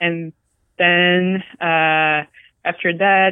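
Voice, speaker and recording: A woman speaks with a Brazilian accent. Her intonation stays fairly even. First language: Portuguese. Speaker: robotics software engineer. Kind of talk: interview, casual conversation.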